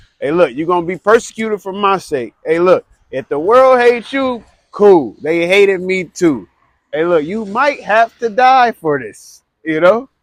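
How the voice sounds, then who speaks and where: A man speaks loudly at a moderate pace, his high-pitched voice carrying lively intonation. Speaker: street preacher. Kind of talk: street preaching.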